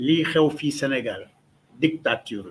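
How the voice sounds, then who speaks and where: Very slow speech from a man, fairly high in pitch. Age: 70s. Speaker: political activist. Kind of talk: press conference statement. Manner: hesitant, many fillers.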